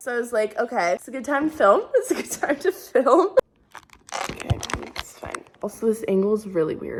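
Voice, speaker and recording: A woman speaking over noticeable background noise. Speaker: college dance student and vlogger. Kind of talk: casual vlog. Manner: animated.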